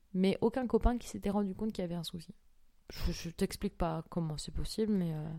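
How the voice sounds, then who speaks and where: Speaking at a fairly quick pace, a woman uses a medium pitch and a dark, mellow tone with ordinary pitch variation. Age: 20s. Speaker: golf course manager. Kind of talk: testimony.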